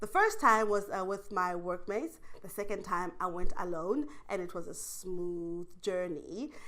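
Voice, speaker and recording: With a bright, sharp tone, a woman speaks fairly slowly at a medium pitch and with ordinary pitch variation. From South Africa. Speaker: online English teacher. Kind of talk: interview answer.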